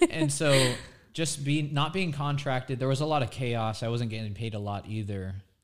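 Here a man uses an unremarkable speaking voice at a medium pitch. He talks at a moderate pace with ordinary pitch variation. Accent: American. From Florida, Nature Coast. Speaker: TV meteorologist. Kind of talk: casual chat.

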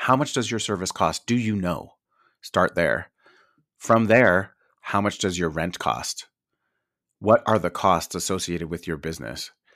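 Recorded very cleanly against a silent background, a man with an American accent speaks in a very deep, low pitch with vocal fry, an animated tone and lively intonation, moving at a fairly slow pace with long, frequent pauses. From New York. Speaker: esthetician and business owner. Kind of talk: casual chat.

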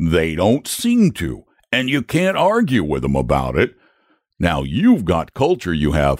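Using a put-on character voice, a man speaks low and fairly slowly with very wide pitch swings. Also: slightly mellow tone, very clean recording, silent background.

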